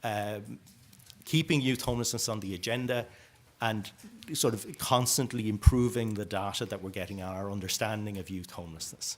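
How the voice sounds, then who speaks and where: A man with an Irish accent speaks in a fairly low pitch, with ordinary pitch variation. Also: big swings in loudness. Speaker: youth homelessness policy speaker. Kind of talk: conference presentation. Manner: fast.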